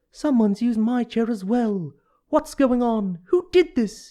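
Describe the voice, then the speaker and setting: The put-on character voice sits fairly high in pitch at a moderate pace. The recording is very clean, with a silent background. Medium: read story.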